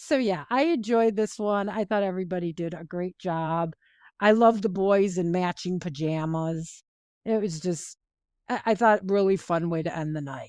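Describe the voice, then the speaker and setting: Over a silent background in a very clean recording, a normal speaking voice moves at a moderate pace with ordinary pitch variation. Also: woman, medium pitch for a woman. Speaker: podcast co-host. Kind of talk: casual chat.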